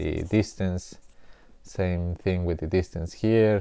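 A man speaks at a very slow pace in a very deep, low voice with a dark, mellow tone. His intonation stays fairly even, and the sound is dry with no echo. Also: quiet background. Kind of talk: tutorial. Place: studio. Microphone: lapel.

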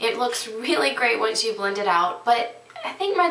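A woman speaks at a moderate pace in a fairly high voice with lively intonation, over noticeable background noise and audible room echo. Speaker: beauty vlogger. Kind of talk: product review tutorial. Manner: casual, frequent fillers.

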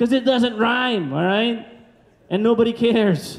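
This is a man's voice. His pitch is high. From Philippines. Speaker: stand-up comedian. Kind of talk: stand-up comedy set, crowd-work audience surveys and married-life jokes. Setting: stage with live audience. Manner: chatty and conversational, repeatedly checking in with the crowd; animated, acting out exasperated sighs and groans. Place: stage. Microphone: handheld.

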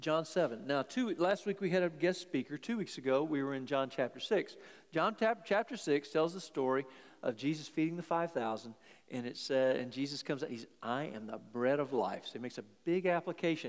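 The background stays quiet. A man speaks at a fairly quick speed. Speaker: preacher. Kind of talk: sermon. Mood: warm, lightly humorous. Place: church.

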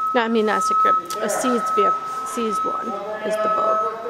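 Words come at a moderate pace while loud background noise fills the recording. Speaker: auction house staff member giving a preview walkthrough. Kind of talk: auction preview walkthrough talking to camera. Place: garage. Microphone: phone near.

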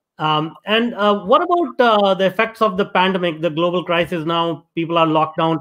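Against a quiet background, a high-pitched man talks at a fairly quick pace with very even loudness, ordinary pitch variation and hardly any pauses. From India. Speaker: podcast host. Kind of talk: reading guest introduction; interview conversation. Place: home room. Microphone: video call.

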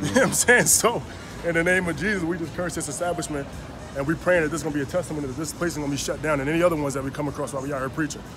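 Clear music plays in the background. Over it, a man speaks in a fairly high pitch with ordinary variation. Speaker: street preacher. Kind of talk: casual street preaching to camera. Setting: outdoors on a street. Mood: earnest, conviction. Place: street. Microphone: phone near.

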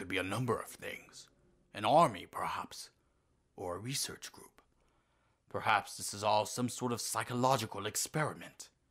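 Putting on a raspy character voice, a man speaks at medium pitch and a moderate pace, with long, frequent pauses and big swings in loudness. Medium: fan dub. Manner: measured, reasoned.

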